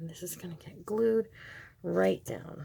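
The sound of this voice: A woman speaks at a fairly slow pace in a fairly low pitch, with a dark, mellow tone and a husky, rough edge. Vocal fry runs through her voice, and her pitch varies in an ordinary way.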